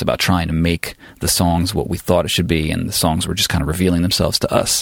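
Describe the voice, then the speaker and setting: A man speaks with a very deep, low pitch. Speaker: audio engineer and music producer. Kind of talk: casual chat.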